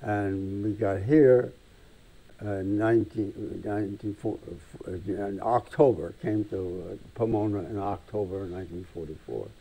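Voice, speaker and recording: A man with an American accent speaks at a fairly low pitch in a dark, mellow tone. His pace is fairly slow, with ordinary pitch variation. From Vermont and Connecticut, USA. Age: 80s+. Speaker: war veteran. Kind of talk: interview answer. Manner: hesitant, halting.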